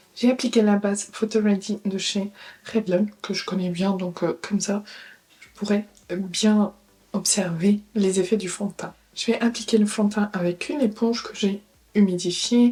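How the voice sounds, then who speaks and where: A woman speaks in a somewhat breathy voice with a dark, mellow tone. Her pace is fairly slow, her intonation fairly even, and her loudness swings widely. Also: medium pitch for a woman. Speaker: beauty youtuber. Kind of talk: product review tutorial. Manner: casual, hesitant.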